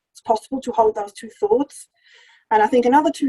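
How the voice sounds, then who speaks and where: A woman with a non-native accent speaks at a high pitch, her tone dark and mellow, her pitch varying in an ordinary way, in a dry, close recording with no echo. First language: not English. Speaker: charity chief executive. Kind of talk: lecture.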